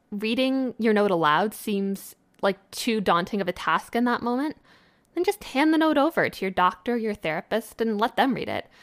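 In an ordinary speaking voice, a woman speaks at a fairly high pitch with lively intonation. The recording is very clean with a silent background, and the sound is dry and close with no echo. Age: 20s. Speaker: podcast host. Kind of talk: solo podcast monologue. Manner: casual.

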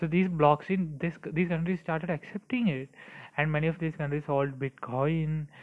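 Fairly even intonation and a moderate pace from a man pitched fairly high. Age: 20s. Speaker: crypto video creator. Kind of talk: solo explainer monologue. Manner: halting, many fillers.

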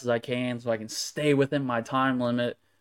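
The speaker has an American accent. The intonation is flat and monotone. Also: man. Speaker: sports card dealer. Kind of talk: recorded show-and-tell video.

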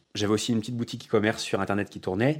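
A man speaks in an animated tone. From France, Haute-Savoie. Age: 20s. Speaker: business coach. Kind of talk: podcast monologue.

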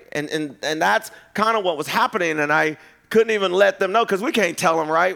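Loud and animated, a man with a high pitch speaks at a very fast pace with lively intonation. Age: 50s. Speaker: preacher. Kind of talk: sermon. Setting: church. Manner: loud, animated.

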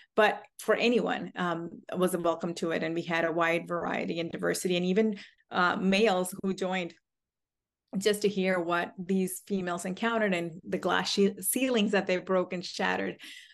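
With an American accent and a normal speaking voice, a woman talks at a moderate pace and medium pitch, her intonation fairly even over a quiet background. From US, Indian American family. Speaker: judge. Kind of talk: interview.

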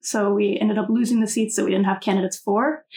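A woman with an American accent, her voice somewhat breathy and fairly high-pitched, with a dark, mellow tone and fairly even intonation. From US South, North Carolina. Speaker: student election candidate. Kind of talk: interview.

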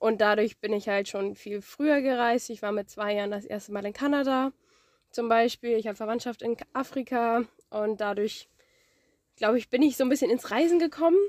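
A woman with an unremarkable speaking voice talks at a moderate pace and a fairly high pitch, her pitch varying in an ordinary way, on a very clean recording with a silent background. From northern Germany. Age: 20s. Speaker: farm worker and student. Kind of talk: interview.

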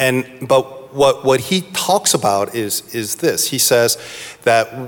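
A man's very slow, medium-pitched speech in an American accent, with lively intonation and noticeable background noise. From US East Coast. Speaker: pastor. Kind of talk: panel discussion. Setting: stage with audience.

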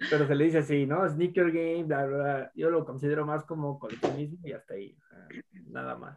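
A man with a plain, everyday voice speaks fairly quickly in a fairly high pitch, with fairly even intonation and big swings in loudness. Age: 20s. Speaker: university student. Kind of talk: casual chat.

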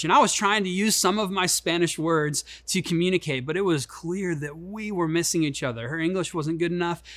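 This speaker has a Midwestern US accent and a fairly quick pace. The pitch varies in an ordinary way. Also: man. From Chicago, US Midwest. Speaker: pastor. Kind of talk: sermon. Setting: online church service.

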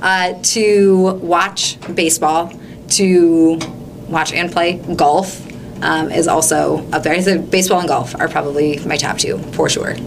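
With a slight Minnesota accent, a woman talks at a very slow pace and fairly low pitch, her intonation fairly even, amid audible room echo and noticeable background noise. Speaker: English teacher. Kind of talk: interview.

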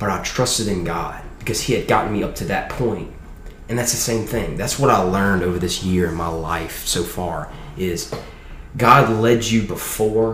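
With a Louisiana accent, a man speaks in a fairly low pitch with ordinary pitch variation, amid noticeable background noise and audible room echo. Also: moderate pace. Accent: US Southern, Louisiana. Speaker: college student. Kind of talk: testimony.

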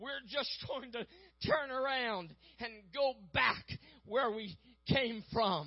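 Speaking at a very slow pace, a man uses an extremely high pitch, a passionate tone and ordinary pitch variation. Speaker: evangelist preacher. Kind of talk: sermon, preacher in full flow, building to altar call. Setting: church. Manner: urgent, passionate, pleading, rhythmic with repetitions.

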